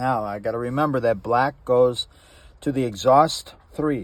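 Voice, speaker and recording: A man with an American accent speaks at a fairly slow pace. His medium-pitched voice has ordinary pitch variation on a very clean recording with a silent background. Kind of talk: casual how-to tutorial. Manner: animated.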